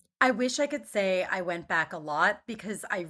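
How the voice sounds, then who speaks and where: In an American accent, a woman with an ordinary speaking voice talks at a moderate pace and medium pitch, her intonation lively, in a very clean recording with a silent background. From Philadelphia suburbs, Main Line. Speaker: writer and speaker on grief. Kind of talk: casual interview.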